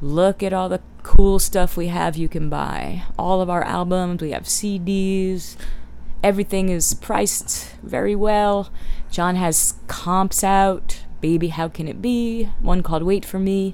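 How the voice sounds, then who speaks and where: A woman speaks at a fairly slow pace in a normal speaking voice, her medium pitch held in fairly even intonation. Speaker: co-host. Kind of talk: casual chat, banter with husband. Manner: deadpan, wry.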